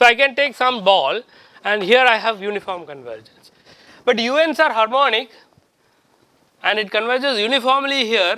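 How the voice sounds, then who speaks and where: A man with an extremely high pitch projects a raised voice in a bright, sharp tone, with ordinary pitch variation, a moderate pace and long, frequent pauses. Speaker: professor. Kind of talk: lecture. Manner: halting.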